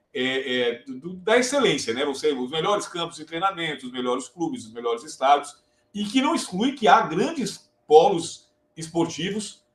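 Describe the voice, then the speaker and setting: A man with a São Paulo accent, his pitch swinging very widely. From São Paulo city, Brazil, raised in Maranhão. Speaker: course host and sports journalism teacher. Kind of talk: casual chat.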